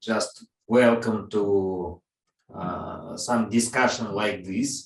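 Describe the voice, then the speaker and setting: Fairly low in pitch, a man speaks at a very slow pace. His intonation is fairly even. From Russia. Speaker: interviewer. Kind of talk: interview over video call. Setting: video call. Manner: halting, non-fluent English.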